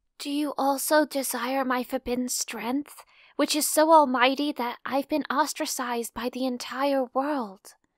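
At a moderate pace, a woman uses a put-on character voice at a high pitch, in a very clean recording with a silent background. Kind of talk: overdramatic chunibyo speech. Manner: grandiose, proud, theatrical.

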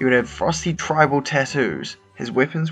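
With music playing in the background, a man speaks at a moderate pace in a medium pitch. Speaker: guest presenting his own concept on a gaming video show. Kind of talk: casual, jokey presentation.

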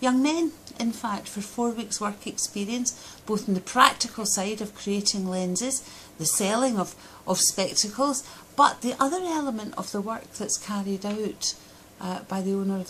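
A woman's fairly high voice with a Scottish accent over light background noise. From Scotland. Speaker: Scottish parliament member. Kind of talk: video diary update. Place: office. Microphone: phone near.

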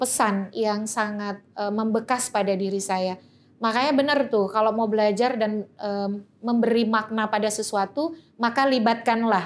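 Fairly slow speech from a woman, pitch varying in an ordinary way. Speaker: election researcher and law lecturer; law lecturer. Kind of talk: interview. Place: studio. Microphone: studio mic.

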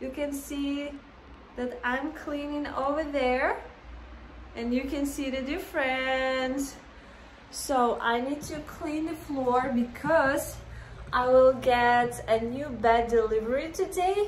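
A woman with a high pitch and ordinary pitch variation at a slow pace, with audible room echo.

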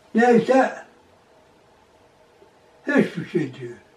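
A man's high-pitched voice at a very slow pace, with very wide pitch swings and audible room echo. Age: 80s+. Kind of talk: oral history interview answer. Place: home room. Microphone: camera far.

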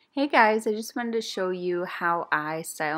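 A woman's voice with ordinary pitch variation at a moderate pace. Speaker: beauty vlogger. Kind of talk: tutorial. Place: home room. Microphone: phone near.

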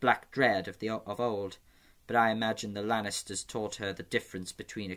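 The speaker uses an unforced reading voice. The words are read without strain.

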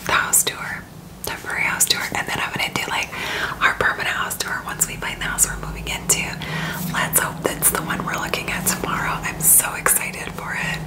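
A woman speaks at a moderate pace amid loud background noise. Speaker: beauty vlogger. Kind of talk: casual vlog chat. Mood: cheerful, excited. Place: home room. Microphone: phone near.

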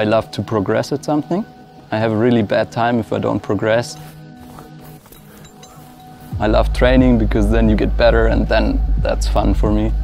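Over clear music in the background, a man speaks at a moderate pace with long, frequent pauses, in a dry sound with no echo. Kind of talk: interview answer. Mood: calm, reflective. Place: factory.

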